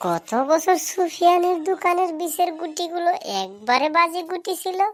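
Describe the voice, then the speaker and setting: A woman does a cartoonish character voice at an extremely high pitch, with fairly even intonation and a moderate pace. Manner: warm, chatty.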